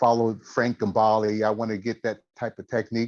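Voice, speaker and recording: At a moderate pace, a man with a medium pitch speaks in a dry, close sound with no echo. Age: 60s. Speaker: military veteran guitarist. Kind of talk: testimony. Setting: video call.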